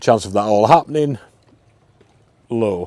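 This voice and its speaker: The man's tone is dark and mellow. He talks at a moderate pace with ordinary pitch variation. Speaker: travel vlogger. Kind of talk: casual vlog narration. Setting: outdoors.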